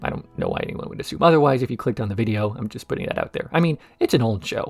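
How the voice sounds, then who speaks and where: Here is a man with an American accent and a medium pitch. His intonation is lively. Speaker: video essayist. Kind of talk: scripted narration.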